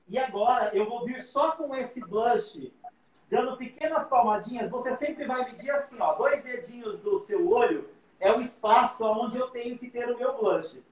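Noticeable background noise sits behind a man whose pitch is extremely high for a man, with ordinary variation and a moderate pace. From interior of São Paulo state, Brazil. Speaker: makeup artist and hairdresser. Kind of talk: live makeup tutorial.

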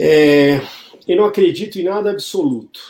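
A man's dark, mellow voice at a very slow pace, with lively intonation. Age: 40s. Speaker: food retail innovation executive. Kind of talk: interview. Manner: halting, many fillers and repetitions.

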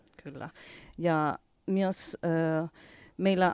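Someone with a Spanish accent speaks at a very slow pace with fairly even intonation, the sound dry and close with no echo on a very clean recording with a silent background. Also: woman. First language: Spanish (speaking Finnish). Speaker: winery owner. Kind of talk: radio interview. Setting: radio studio. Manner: halting, many fillers.

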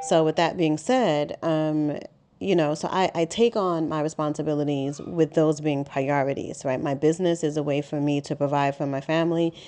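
Over a quiet background, a woman speaks with a New York accent at a moderate pace. Her very deep, low voice has a dark, mellow tone and ordinary pitch variation. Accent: New York City. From Harlem, New York City. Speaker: podcast host, business coach. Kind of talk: solo podcast monologue. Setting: home. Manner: conversational, with many fillers.

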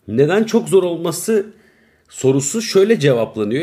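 A man's dark, mellow tone with vocal fry. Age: 30s. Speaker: podcaster. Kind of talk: casual solo monologue. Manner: rambling, laughing at himself.

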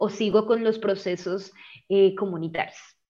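A woman speaks at a moderate pace and a medium pitch. Her intonation is flat and monotone. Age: 20s. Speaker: arts education student and singer. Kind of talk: interview conversation.

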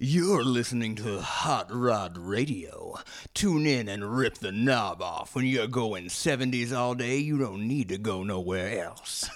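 A man's put-on character voice at a medium pitch, fairly slow but with hardly any pauses, lively in its intonation. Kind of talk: smooth retro radio announcer. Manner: smooth, suave, groovy.

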